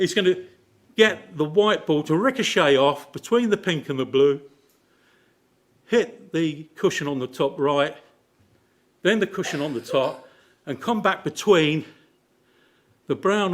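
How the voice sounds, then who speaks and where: Heard in a very clean recording with a silent background, a man uses lively intonation and leaves long, frequent pauses. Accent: English. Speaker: lay preacher. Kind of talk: sermon. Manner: animated.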